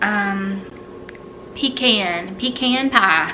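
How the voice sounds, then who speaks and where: With an American accent, a woman speaks amid noticeable background noise and audible room echo. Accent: Southern, lighter than in childhood. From US South, South Carolina. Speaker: YouTuber. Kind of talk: casual chat.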